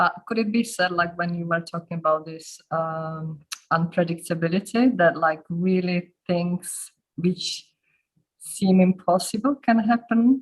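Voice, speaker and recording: The speaker, with a non-native accent, talks at a fairly slow pace. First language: not English. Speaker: meeting participant. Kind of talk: casual question in online meeting. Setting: video call. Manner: halting.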